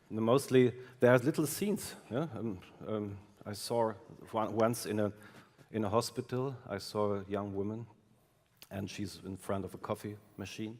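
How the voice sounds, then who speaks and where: A man with a German accent talks at a fairly slow pace, pausing long and often. His pitch is fairly low and his intonation fairly even. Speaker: film director. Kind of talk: interview. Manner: halting.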